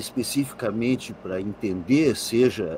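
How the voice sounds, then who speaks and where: Very slow speech comes through here. It has a somewhat breathy quality. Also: man. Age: 60s. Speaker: occultist author. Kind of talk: interview on live podcast. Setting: live stream.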